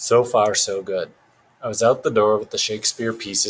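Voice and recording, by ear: Someone reads aloud, and the voice sounds natural.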